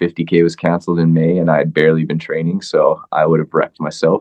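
Very deep, low male pitch with an American accent. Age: 30s. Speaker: ultramarathon runner. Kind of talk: casual interview.

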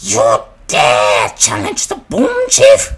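A man uses a put-on character voice. He bellows. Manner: bellowing.

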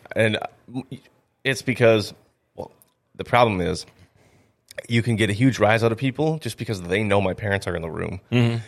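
A man with an Upper Midwest accent at a fairly low pitch, moderate pace and ordinary pitch variation, with long, frequent pauses. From North Dakota, Grand Forks. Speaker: stand-up comedian. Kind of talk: casual chat.

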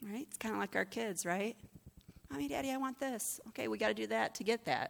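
A woman talks very fast in a fairly high voice with vocal fry and very wide pitch swings, on a very clean recording with a silent background. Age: 40s. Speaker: pastor. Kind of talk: sermon. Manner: conversational.

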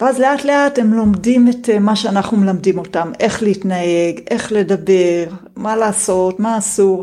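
In a calm tone, a woman talks at a fairly slow pace and medium pitch. Noticeable background noise runs underneath. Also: ordinary pitch variation. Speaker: homeschooling mother of four, programmer. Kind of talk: interview guest talk.

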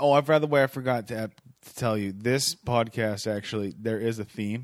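An ordinary speaking voice from a man, medium in pitch with ordinary pitch variation, on a very clean recording with a silent background. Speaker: podcast host. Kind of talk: casual chat. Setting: home studio.

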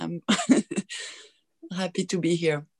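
A woman with a French accent shows ordinary pitch variation in a dry, close sound with no echo. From Belgium. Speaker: workshop participant. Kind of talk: casual chat. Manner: halting.

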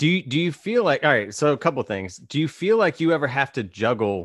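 An unremarkable speaking voice with lively intonation moves at a moderate pace. The sound is dry and close with no echo, over a quiet background. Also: man. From Virginia. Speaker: podcast host. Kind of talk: casual chat.

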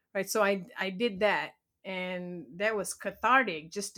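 A woman's bright, sharp tone with fairly even intonation, on a very clean recording with a silent background. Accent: Malaysian. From Malaysia. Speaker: blogger and aspiring author. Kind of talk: interview.

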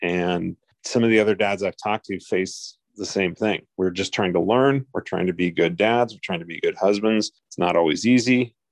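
Here is a man with an ordinary speaking voice, fairly low in pitch, with ordinary pitch variation. He talks at a moderate pace with hardly any pauses against a quiet background. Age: 50s. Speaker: podcast co-host and parent advocate. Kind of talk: casual chat.

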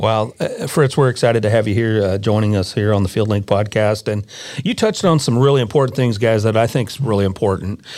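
In an American accent, a man speaks at a fairly quick pace in an ordinary speaking voice, his fairly low pitch showing ordinary pitch variation. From Nebraska. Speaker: podcast host. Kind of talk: interview. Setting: studio.

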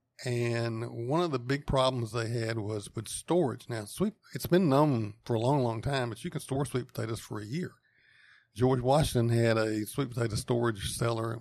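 Talking at a fairly quick pace, a man has a North Carolina accent. His pitch is medium, with ordinary variation. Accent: Southern US (North Carolina). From US South, eastern North Carolina (Wendell, Wake County). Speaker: engineering professor. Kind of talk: interview. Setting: on location at university lab.

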